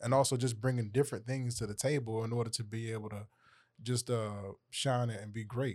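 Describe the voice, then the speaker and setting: On a very clean recording with a silent background, a man with a Southern US accent and medium pitch speaks at a fairly quick pace in a monotone, flat intonation. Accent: US South. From Atlanta, Georgia. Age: 20s. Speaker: poet and rapper. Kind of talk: panel discussion.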